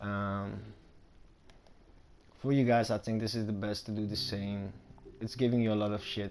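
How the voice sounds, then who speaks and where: A man with a non-native accent talks in a monotone, flat way, leaving long, frequent pauses. Music plays in the background. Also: moderate pace. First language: not English. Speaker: gaming YouTuber. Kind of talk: gameplay tutorial commentary. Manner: casual, rambling with fillers.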